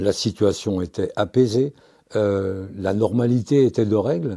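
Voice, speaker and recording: Dark and mellow, a man's voice sits at a fairly low pitch with ordinary pitch variation. The recording is very clean, with a silent background. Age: 70s. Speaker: retired police commissioner. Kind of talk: interview. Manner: hesitant, frequent fillers.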